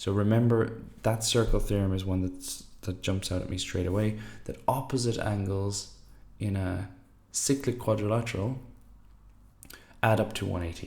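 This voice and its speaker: A somewhat breathy man's voice of fairly low pitch, at a moderate pace with long, frequent pauses and fairly even intonation, in audible room echo. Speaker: maths teacher. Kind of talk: tutorial.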